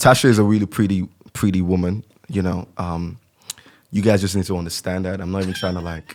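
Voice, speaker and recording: A man with a very deep, low pitch and a slight Nigerian accent, at a very fast pace. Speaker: podcast co-host. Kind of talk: casual chat. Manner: animated.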